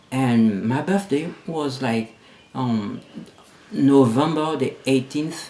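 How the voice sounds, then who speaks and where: A man at a fairly slow pace, ordinary pitch variation, and noticeable background noise behind him. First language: not English (English is third language). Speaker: vlogger. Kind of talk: personal vlog monologue. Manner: halting, many repetitions and fillers.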